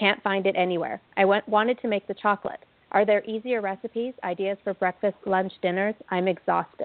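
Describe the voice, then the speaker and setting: A woman with an unremarkable speaking voice talks at a fairly quick pace with hardly any pauses. Her pitch is medium and her intonation fairly even. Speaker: co-host relaying listener questions. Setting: remote call.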